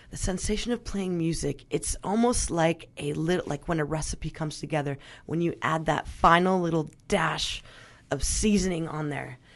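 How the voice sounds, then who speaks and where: A woman with an American accent talks at a moderate pace in a fairly low pitch, with vocal fry and ordinary pitch variation. The background is quiet. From Northern California, Sonoma County. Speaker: radio host, drummer and restaurant worker. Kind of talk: casual interview chat. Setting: radio studio.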